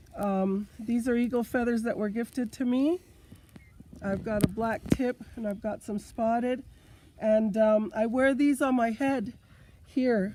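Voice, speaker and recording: Fairly high-pitched woman at a fairly slow pace, her pitch varying in an ordinary way. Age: 60s. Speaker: powwow dancer. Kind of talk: prerecorded video talk.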